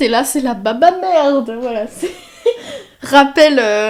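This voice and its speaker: The voice moves at a very slow pace. Its intonation is lively. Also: woman. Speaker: video creator / artist. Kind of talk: casual vlog to camera. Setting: at home desk, filming to camera. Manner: hesitant, many filler sounds.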